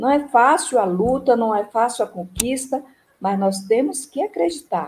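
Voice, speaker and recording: With lively intonation, the speaker sounds somewhat breathy. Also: woman. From Brazil, Ceará. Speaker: retired union administrative secretary. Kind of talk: interview, personal memories. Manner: halting, many fillers.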